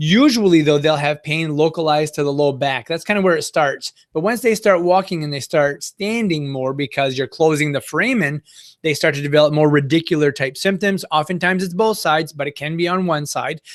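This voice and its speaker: This man's fairly high voice moves with ordinary pitch variation at a fairly quick pace, with hardly any pauses. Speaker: physical therapist. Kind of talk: webinar lecture. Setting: online webinar. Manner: fast.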